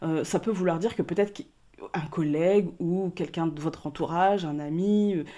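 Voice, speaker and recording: A woman talks at a moderate pace with a fairly low pitch and fairly even intonation. The recording is very clean with a silent background. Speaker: tarot card reader. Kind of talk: card reading for viewers. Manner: calm, measured voice; speaking softly, not loud. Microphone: mic very loud in her ears, so she speaks quietly.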